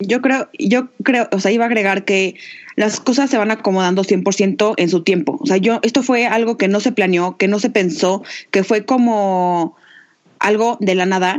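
Here a woman has an unremarkable speaking voice with ordinary pitch variation. Her pace is fairly slow and her loudness very even. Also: medium pitch for a woman, quiet background. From Mexico, Aguascalientes. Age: 20s. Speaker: podcast co-host, entrepreneur. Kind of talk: casual chat.

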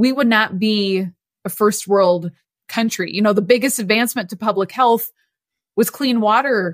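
In an American accent and an unremarkable speaking voice, a woman with a fairly high pitch speaks at a moderate pace with ordinary pitch variation, recorded very cleanly against a silent background. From US Midwest. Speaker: nonprofit executive director. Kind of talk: interview.

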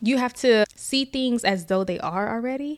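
A very clean recording with a silent background carries the clip. The woman's pitch varies in an ordinary way. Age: 20s. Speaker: podcast co-host and author. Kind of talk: casual chat. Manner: animated.

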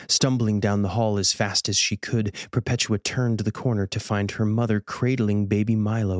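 The clip is plain reading aloud.

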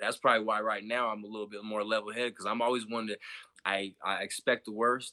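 A man's very fast, monotone delivery, fairly low in pitch and bright, sharp in tone, with a dry, close sound and no echo. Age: 30s. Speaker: podcast guest. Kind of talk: casual chat.

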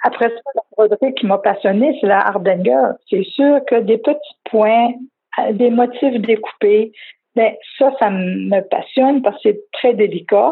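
With a Quebec accent, a woman speaks very slowly in a fairly high voice with ordinary pitch variation. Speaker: craftswoman. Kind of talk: interview. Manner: halting.

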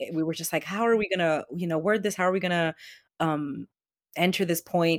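In a very clean recording with a silent background, a woman with an unremarkable speaking voice talks at a fairly quick pace, her fairly low pitch held in fairly even intonation. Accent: American. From Boston, Jamaica Plain. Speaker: city council candidate. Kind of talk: interview.

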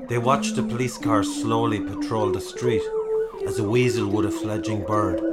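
Reading done in an unforced voice

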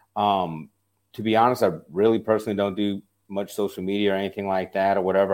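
Speaking at a very fast pace, a man with an American accent uses a fairly low pitch. The recording is very clean, with a silent background. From US South, South Louisiana. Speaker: app founder. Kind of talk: podcast interview.

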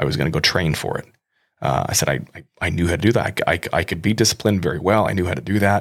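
Lively intonation marks this man's very fast speech. His pitch is very deep and low, with vocal fry. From US Midwest. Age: 30s. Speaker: podcast host. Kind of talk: testimony. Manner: halting.

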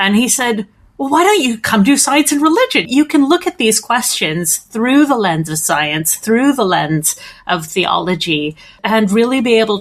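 A woman talks at a moderate pace. She has a Canadian accent. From Canada, Edmonton. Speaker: theologian and postdoctoral researcher. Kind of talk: interview.

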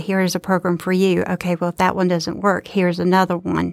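On a very clean recording with a silent background, a woman speaks at medium pitch with a Southern US accent. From Georgia, US South. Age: 40s. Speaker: student trustee and nursing student, Air Force veteran. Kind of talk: casual interview. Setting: studio.

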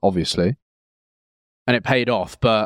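With an English accent, a man talks at a fairly quick pace and a fairly low pitch, captured in a very clean recording with a silent background and a dry, close sound with no echo. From England, rural village. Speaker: podcast co-host, photographer. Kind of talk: casual chat.

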